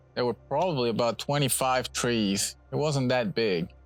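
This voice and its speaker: A man's medium-pitched voice at a moderate pace, with ordinary pitch variation and music in the background. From Puerto Rico. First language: Spanish. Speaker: bonsai nursery owner. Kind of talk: casual interview during nursery tour.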